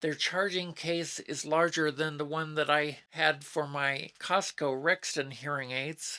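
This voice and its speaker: This woman has a very deep, low pitch and a bright, sharp tone, with an American accent. She speaks at a fairly slow pace with fairly even intonation. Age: 60s. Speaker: YouTube reviewer, retiree. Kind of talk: product review. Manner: formal.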